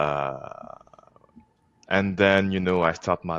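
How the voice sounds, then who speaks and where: A man with a French accent speaks at a very slow pace with fairly even intonation, the sound dry and close with no echo. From France. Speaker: organization co-founder. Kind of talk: podcast interview. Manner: halting.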